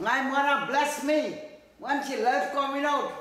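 Heard with audible room echo, a man with a Trinidadian accent speaks at an extremely high pitch and a fairly slow pace. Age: 80s+. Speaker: elderly interviewee. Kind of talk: interview answer. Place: home room.

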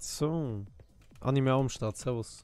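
His pitch sits in the middle range for a man, and it rises and falls in an ordinary way. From Switzerland. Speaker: gaming streamer. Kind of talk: casual live stream chat. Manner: loud.

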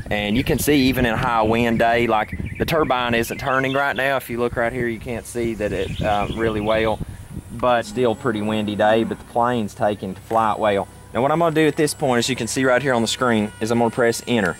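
A man at a fairly quick pace with fairly even intonation, dry sound with no echo, and noticeable background noise. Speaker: hobbyist pilot demonstrating drone. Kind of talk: tutorial commentary. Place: open country.

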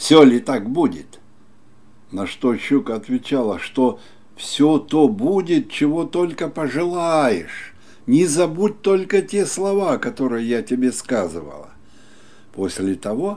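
A man's dark, mellow voice at a very slow pace, with very wide pitch swings and long, frequent pauses. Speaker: storyteller. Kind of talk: fairy tale reading. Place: home room.

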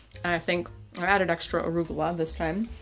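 Faint music plays in the background. Over it, a woman speaks. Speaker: home cook food vlogger. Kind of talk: casual vlog chat. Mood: relaxed, pleased. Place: kitchen.

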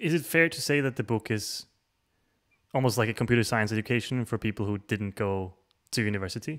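A man speaks at a very fast pace, with long, frequent pauses and ordinary pitch variation. The background is quiet. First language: not English. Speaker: show host. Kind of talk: casual interview. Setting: video call. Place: home room. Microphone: studio mic.

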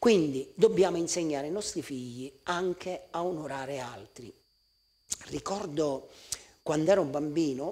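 With a Sicilian accent and a dark, mellow tone, a man talks at a fairly slow pace, taking long, frequent pauses amid big swings in loudness. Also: ordinary pitch variation. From Sicily. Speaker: pastor. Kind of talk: sermon; sermon-style talk to camera. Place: church.

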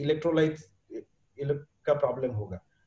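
With audible room echo, a man in an Indian accent speaks at a fairly quick pace in a dark, mellow tone with ordinary pitch variation. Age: 50s. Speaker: entrepreneur and fitness enthusiast; interview guest. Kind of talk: podcast interview answer. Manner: casual, mixes Hindi and English. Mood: relaxed, conversational. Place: home room. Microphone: video call.

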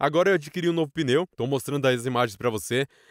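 In a very clean recording with a silent background and a dry, close sound with no echo, a man with a fairly high pitch talks at a very fast pace. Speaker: commercial voice-over announcer. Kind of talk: casual motovlog talk to camera.

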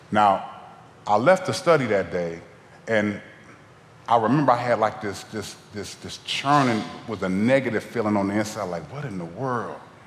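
A man with an American accent speaks with lively intonation and big swings in loudness. He leaves long, frequent pauses, and the room echo is audible. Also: fairly low pitch for a man, moderate pace. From Ohio. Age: 40s. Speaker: guest preacher. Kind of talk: sermon. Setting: church. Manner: animated. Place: church. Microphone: headset.

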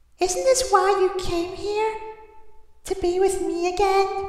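A put-on character voice at an extremely high pitch moves at a fairly slow pace through a strong echo. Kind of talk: voice impressions of game characters.

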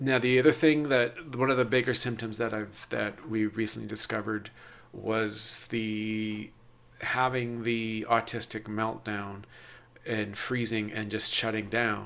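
The intonation is monotone and flat. A man speaks at a fairly slow pace. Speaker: podcast host; vlogger. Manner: robotic. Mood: reflective, personal. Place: home room. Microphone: webcam.

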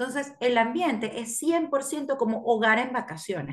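A woman speaks with a fairly high pitch and a somewhat breathy voice. Her pitch swings very widely over a quiet background. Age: 30s. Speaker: camp director. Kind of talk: radio interview. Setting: video call. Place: home room. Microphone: video call.

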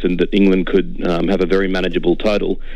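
There is noticeable background noise as a man with an Australian accent talks fairly quickly. His pitch varies in an ordinary way. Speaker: cricket writer. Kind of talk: radio interview. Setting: phone call.

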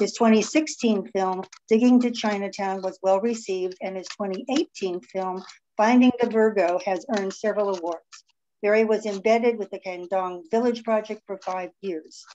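At a moderate pace, a woman speaks in a dark, mellow tone with ordinary pitch variation and light background noise. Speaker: event host. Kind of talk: speaker introduction. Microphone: video call.

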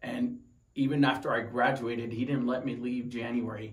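Someone with an American accent speaks at a moderate pace, with audible room echo. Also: man. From Tucson, Arizona. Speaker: wounded Marine veteran. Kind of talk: personal story interview. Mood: calm, reflective. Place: home room.

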